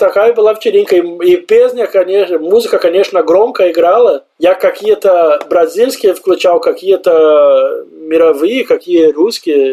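The voice comes in a Portuguese accent. The pace is moderate. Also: man. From southern Brazil, Santa Maria. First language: Portuguese (speaking Russian). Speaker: immigrant, office worker. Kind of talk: interview. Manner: animated.

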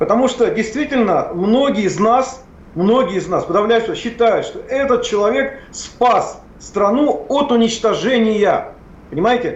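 Audible room echo surrounds a man whose extremely high pitch moves with ordinary variation at a moderate pace. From Plyos, central Russia. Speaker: historian and public official. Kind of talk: heated debate. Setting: remote connection. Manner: animated.

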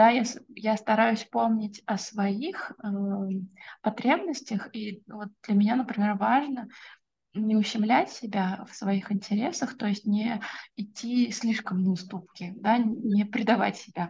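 A somewhat breathy voice at a very slow pace, with ordinary pitch variation. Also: woman, fairly high pitch for a woman. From Russia, Orenburg. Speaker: SMM specialist. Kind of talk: podcast interview. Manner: hesitant with filler words.

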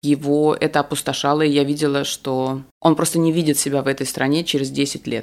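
A woman speaks at a fairly quick pace in a very deep, low voice with monotone, flat intonation. The recording is very clean, with a silent background. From Moscow, Russia. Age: 40s. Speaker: sex educator and blogger. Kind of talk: casual chat.

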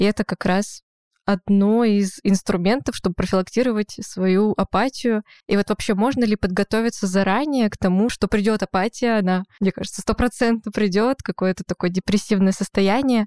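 A woman with an ordinary speaking voice at medium pitch, fairly even intonation and moderate pace, in a dry, close sound with no echo. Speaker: podcast co-host. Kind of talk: casual interview chat. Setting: studio.

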